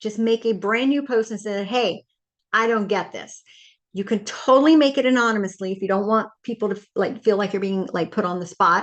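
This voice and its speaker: Fairly high in pitch, a woman speaks in an animated tone with ordinary pitch variation. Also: fairly quick pace. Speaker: online Bible study leader. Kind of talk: casual video talk. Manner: fast.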